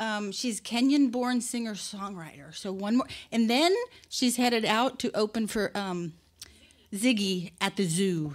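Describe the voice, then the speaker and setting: This woman's voice sits fairly high, with lively intonation. She speaks at a fairly slow pace. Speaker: event host. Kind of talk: event introduction. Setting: live studio with audience. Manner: casual. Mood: warm, welcoming. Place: stage. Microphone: studio mic.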